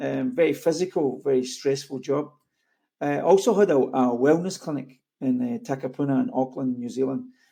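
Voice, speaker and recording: A man in a Scottish accent with a dark, mellow tone, on a very clean recording over a silent background. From Scotland. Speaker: network marketing coach and co-founder. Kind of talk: orientation training presentation.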